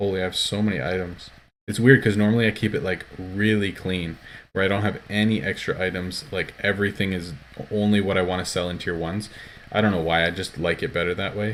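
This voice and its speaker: Speaking at a fairly quick pace, the man has a very deep, low pitch. His intonation stays fairly even. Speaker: gaming streamer. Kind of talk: live game stream commentary. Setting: live stream. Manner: fast; casual, filler-heavy.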